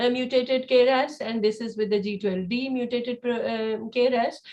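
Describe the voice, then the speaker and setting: Fairly even intonation from a woman at a high pitch. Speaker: cancer researcher presenting lab work. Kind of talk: conference presentation. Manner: fast; halting, many fillers.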